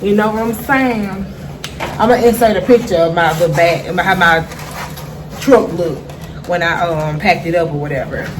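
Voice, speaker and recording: A woman with a Memphis accent speaks at a moderate pace with lively intonation, over noticeable background noise and audible room echo. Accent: Memphis Southern. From Memphis, Tennessee, US South. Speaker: vlogger and small food business owner. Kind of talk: casual vlog update. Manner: animated.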